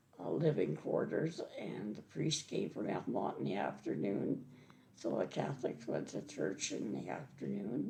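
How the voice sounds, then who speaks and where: Speaking at a fairly slow pace with an Ontario accent, this woman has a very deep, low pitch that makes very wide swings. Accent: Canadian (Ontario). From eastern Ontario, Canada. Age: 80s+. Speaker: senior resident sharing childhood memories. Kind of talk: oral history interview. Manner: halting.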